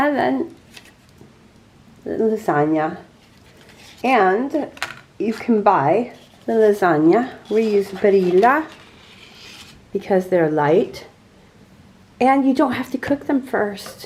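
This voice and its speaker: A woman with a fairly high voice speaks at a very slow pace, her pitch swinging very widely. She leaves long, frequent pauses over noticeable background noise. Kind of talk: casual cooking talk to camera.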